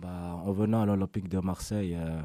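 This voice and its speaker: In a very deep, low pitch, a man speaks at a moderate pace with a dark, mellow tone and flat, monotone intonation. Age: 20s. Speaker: professional footballer. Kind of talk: press conference answers. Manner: hesitant, many fillers.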